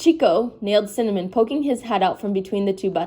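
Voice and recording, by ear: Pitch shifts in an ordinary way. The text is read aloud in a natural voice.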